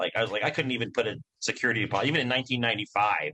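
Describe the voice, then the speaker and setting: Speaking at a very fast pace with a Midwestern US accent, a man uses a medium pitch, ordinary pitch variation and a bright, sharp tone. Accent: US Midwest. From Nebraska, small towns. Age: 40s. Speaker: comedian. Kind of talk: casual chat.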